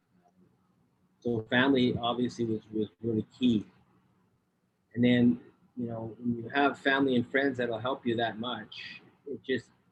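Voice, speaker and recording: At a moderate pace, a man with a medium pitch speaks with monotone, flat intonation and long, frequent pauses. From Canada. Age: 60s. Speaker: public speaker. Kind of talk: interview. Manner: halting, many repeated words.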